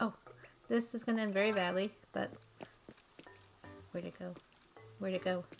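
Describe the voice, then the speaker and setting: Music plays behind the voice. The speaker is a woman. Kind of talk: casual talk to camera.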